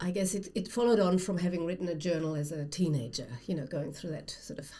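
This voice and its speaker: A woman with a German accent speaks at a fairly low pitch with ordinary pitch variation, with audible room echo and noticeable background noise. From Germany. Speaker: writer and former academic. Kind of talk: casual chat.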